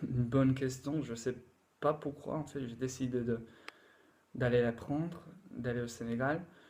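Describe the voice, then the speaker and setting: A man with an English accent speaks at medium pitch with fairly even intonation. His pace is fairly slow, with long, frequent pauses. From England. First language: English (speaking French). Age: 20s. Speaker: language learner. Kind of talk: casual talk to camera. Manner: halting, many fillers.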